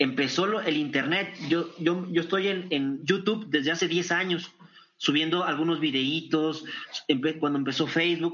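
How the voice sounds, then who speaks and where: A man with a fairly high voice speaks at a moderate pace, his loudness very even throughout. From northern Mexico (Torreón, Coahuila). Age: 40s. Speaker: business consultant and speaker. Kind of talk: interview. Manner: energetic.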